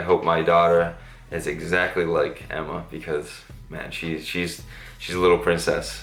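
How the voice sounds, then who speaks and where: A man's very deep, low voice in a monotone, flat intonation at a moderate pace, with audible room echo. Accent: American. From Massachusetts, Cape Cod/Boston area. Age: 30s. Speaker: fitness YouTuber and skateboarder. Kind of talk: casual Q&A vlog. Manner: casual, filler-heavy.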